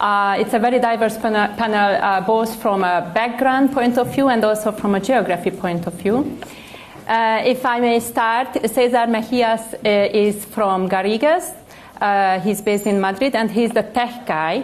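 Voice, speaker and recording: A woman speaks at a moderate pace with a Hungarian accent and a fairly high pitch. Her loudness stays very even, with ordinary pitch variation and audible room echo. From Hungary, Budapest. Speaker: panel moderator. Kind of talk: panel discussion. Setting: stage with audience.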